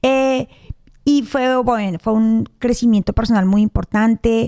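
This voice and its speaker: This woman's voice is fairly high in pitch, with a dark, mellow tone. Her loudness stays very even and her intonation fairly even. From Colombia. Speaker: real estate agent. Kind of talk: podcast interview. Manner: fast.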